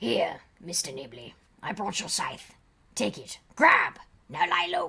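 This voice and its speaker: Using a put-on character voice, a woman speaks raspily at a fairly low pitch and a fairly slow pace. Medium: game stream. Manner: eerie, theatrical.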